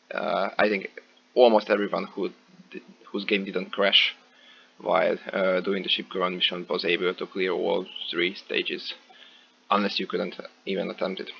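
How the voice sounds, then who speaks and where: A man speaks at a moderate pace, with long, frequent pauses. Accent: non-native. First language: not English. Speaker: gaming video creator. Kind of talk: gameplay commentary. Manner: hesitant, many filler words.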